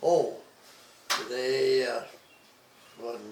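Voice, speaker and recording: A man with an American accent speaks at a very slow pace in a monotone, flat intonation. Audible room echo and noticeable background noise are present. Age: 90s. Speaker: retired dairy farmer. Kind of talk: oral history interview. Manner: halting, hesitant.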